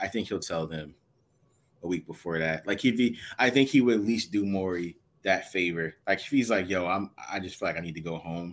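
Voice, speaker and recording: With a very deep, low pitch and ordinary pitch variation, a man speaks at a fairly quick pace. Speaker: co-host. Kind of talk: casual sports podcast chat.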